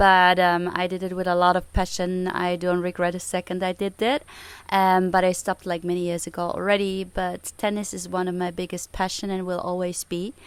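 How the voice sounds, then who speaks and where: The speaker is a woman with a medium pitch. She delivers her words in a monotone, flat intonation. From Germany. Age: 40s. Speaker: padel player, former tennis pro. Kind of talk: interview. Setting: podcast.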